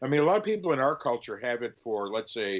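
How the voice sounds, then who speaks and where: A man speaks at a moderate pace and medium pitch. He has an unremarkable speaking voice. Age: 60s. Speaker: record store co-founder and owner; drummer. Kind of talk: casual interview chat.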